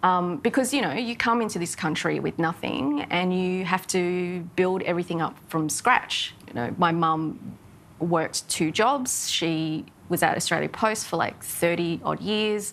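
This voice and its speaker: A woman speaks at a fairly slow pace. Her pitch is fairly low and varies in an ordinary way. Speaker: interview guest. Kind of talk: interview answer. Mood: reflective, lightly laughing. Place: hall.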